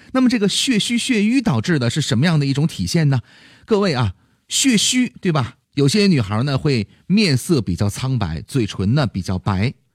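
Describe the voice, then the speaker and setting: Somewhat breathy, a man speaks at a fairly high pitch with very wide pitch swings. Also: moderate pace. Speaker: health podcast host. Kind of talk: health advice talk.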